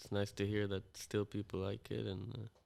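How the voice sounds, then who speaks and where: A man with an American accent speaks at a moderate pace and a fairly low pitch, his intonation monotone and flat, on a very clean recording with a silent background. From Israel, Tel Aviv. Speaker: musician and music producer. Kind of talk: podcast interview. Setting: studio, sitting across table. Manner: halting, many fillers and repeats.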